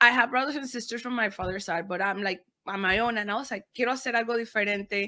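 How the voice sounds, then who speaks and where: On a very clean recording with a silent background, a woman with a Spanish accent speaks very fast in a fairly high, bright, sharp voice with ordinary pitch variation. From Panama. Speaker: podcaster and media producer. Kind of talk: interview, code-switching Spanish and English.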